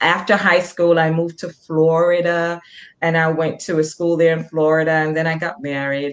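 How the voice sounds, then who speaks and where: A woman in a Jamaican accent, very deep and low in pitch, at a moderate pace. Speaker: nurse practitioner. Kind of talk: interview.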